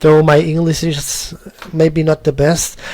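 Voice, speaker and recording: A man's dark, mellow, somewhat breathy voice with a German accent. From Germany. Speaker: 3D artist and tutorial maker. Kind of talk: tutorial. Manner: halting, with many repetitions.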